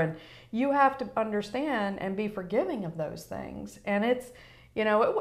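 An ordinary speaking voice with an American accent. The pace is moderate and the pitch varies in an ordinary way. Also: woman. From Virginia (Newport News), US South. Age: 50s. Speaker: mortgage broker. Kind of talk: interview, personal testimony.

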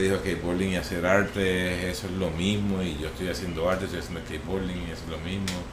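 Against noticeable background noise and audible room echo, a man speaks at a very deep, low pitch. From Puerto Rico, Vega Alta. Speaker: skateboarder and artist. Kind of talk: casual interview chat.

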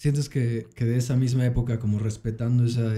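With a dark, mellow tone and a somewhat breathy quality, a man speaks at a moderate pace with fairly even intonation. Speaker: podcast host. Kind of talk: casual chat.

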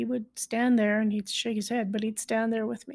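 The speaker is a woman with a fairly high pitch. Her tone is dark and mellow. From Canada, southern rural Alberta. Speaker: podcast host. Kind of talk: personal monologue.

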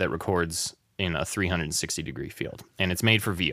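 In a very clean recording with a silent background, a man talks at a fairly quick pace with vocal fry. His tone is bright and sharp, and the sound is dry and close with no echo. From Wyoming, US. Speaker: audio engineer. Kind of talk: casual interview chat. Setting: studio.

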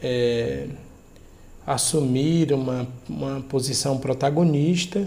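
A man talks at a very slow pace with fairly even intonation. Room echo is audible. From Ceará, Brazil (Fortaleza). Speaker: philosophy professor. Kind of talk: academic interview. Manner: formal.

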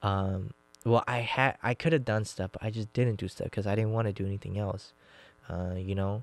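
A man speaks at a moderate pace with a fairly low pitch and fairly even intonation. Music plays in the background. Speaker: podcast host. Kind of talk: casual chat.

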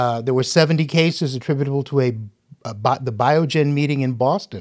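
Very clean recording, silent background, as a man speaks at a moderate pace. He has a fairly high pitch and a plain, everyday voice. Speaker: gastroenterologist doctor. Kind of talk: medical explanation in panel discussion.

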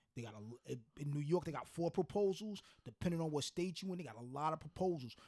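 Somewhat breathy and fairly quick, the voice moves with lively intonation. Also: man, dry, close sound with no echo. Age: 50s. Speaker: podcast co-host. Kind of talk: casual chat.

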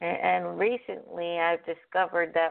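This woman's voice has a fairly low pitch. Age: 50s. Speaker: caller, dog owner. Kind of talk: phone-in chat. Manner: halting.

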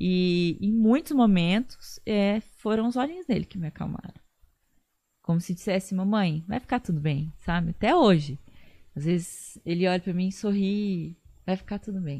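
A woman's somewhat breathy, dark, mellow voice at a medium pitch, moderate pace and ordinary pitch variation, against a quiet background. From Bauru, São Paulo state, Brazil. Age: 30s. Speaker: lawyer and social media influencer. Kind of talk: casual interview chat.

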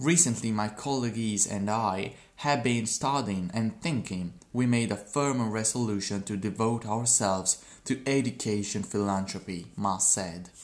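Speaking with a non-native accent, the voice moves at a fairly slow pace with ordinary pitch variation. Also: man, fairly low pitch for a man. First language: not English. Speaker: podcaster practicing English. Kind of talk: reading aloud. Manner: halting.

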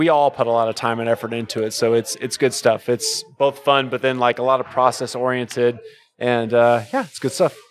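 A man talks in a normal speaking voice at medium pitch, with fairly even intonation. He leaves hardly any pauses. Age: 30s. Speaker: brewer. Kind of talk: casual chat.

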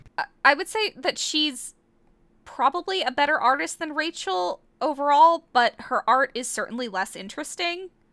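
A woman's raised, projected voice, high in pitch and bright, sharp in tone, with very wide pitch swings at a moderate pace. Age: 20s. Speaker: podcast co-host. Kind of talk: casual chat.

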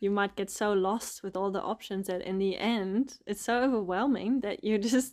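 Speaking at a moderate pace with a German accent and ordinary pitch variation, a woman is heard on a very clean recording with a silent background. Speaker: podcast host. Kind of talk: casual chat.

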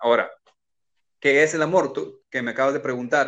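Against a quiet background, a man has a plain, everyday voice. He talks at a fairly quick pace with ordinary pitch variation. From Mexico, Culiacán, Sinaloa. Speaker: pastor. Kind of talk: casual chat.

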